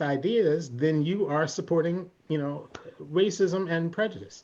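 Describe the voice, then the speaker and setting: Speaking at a moderate pace, a man with an American accent uses a high pitch. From US Northeast, Philadelphia. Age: 60s. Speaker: singer-songwriter and speaker on race. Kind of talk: panel discussion.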